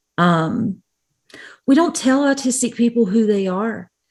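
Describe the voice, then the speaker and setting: A woman talks with a somewhat breathy voice. Her pitch swings very widely. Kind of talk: conference presentation. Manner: animated, frequent fillers.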